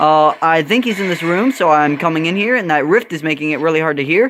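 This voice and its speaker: Noticeable background noise sits behind a man who speaks very fast. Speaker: gaming youtuber. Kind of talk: gameplay commentary. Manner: hesitant, many fillers.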